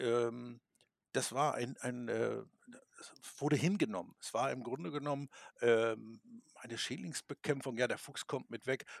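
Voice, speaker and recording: Recorded dry and close with no echo, the voice moves at a fairly slow pace with ordinary pitch variation and long, frequent pauses. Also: man, medium pitch for a man. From Lower Saxony, Germany. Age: 50s. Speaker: hunting expert and taxidermist. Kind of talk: podcast interview. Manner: halting, many filler sounds.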